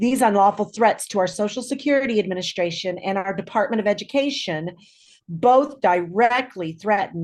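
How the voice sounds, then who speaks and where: A woman speaks at a moderate pace with an American accent and a medium pitch. She has an ordinary speaking voice with lively intonation. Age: 60s. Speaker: clinical social worker. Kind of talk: prepared statement read aloud. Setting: video call.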